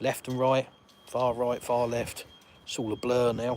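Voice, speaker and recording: This man talks at a very slow pace in a medium pitch. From England. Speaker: YouTuber and livestream host. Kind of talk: live stream chat with viewers. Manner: casual, rambling with fillers.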